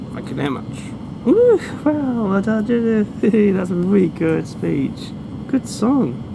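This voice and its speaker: The speaker talks at a very slow pace over noticeable background noise. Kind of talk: casual vlog chat. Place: train. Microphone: phone near.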